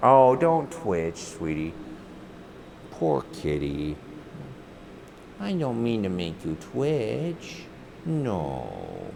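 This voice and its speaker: Over noticeable background noise and audible room echo, a man with a very deep, low pitch talks at a very slow pace, making very wide pitch swings and taking long, frequent pauses. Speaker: streamer. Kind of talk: casual chat. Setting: home studio. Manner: loud.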